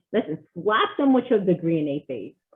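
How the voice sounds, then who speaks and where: A loud, animated woman's voice of medium pitch with very wide pitch swings. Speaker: military veteran and project manager. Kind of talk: casual chat.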